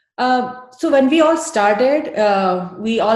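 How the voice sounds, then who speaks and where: A woman's lively intonation with audible room echo. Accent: Indian. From India. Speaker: yoga teacher trainee. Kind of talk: interview. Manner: hesitant, many fillers.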